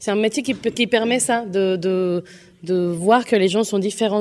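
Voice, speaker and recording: At a medium tempo, a woman talks in a mid-range pitch with fairly level intonation and a dark, mellow tone. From Colombia or Venezuela. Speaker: singer. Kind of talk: interview. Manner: halting.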